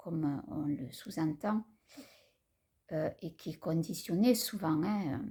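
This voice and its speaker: Very slow in pace, a woman with a fairly low pitch speaks in a dark, mellow, somewhat breathy tone with lively intonation. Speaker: spiritual vlogger. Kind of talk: personal vlog talk. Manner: halting; calm.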